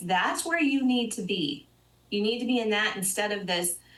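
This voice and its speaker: A woman's medium-pitched voice with ordinary pitch variation, at a fairly quick pace amid noticeable background noise. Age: 60s. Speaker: financial advisor. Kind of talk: TV interview.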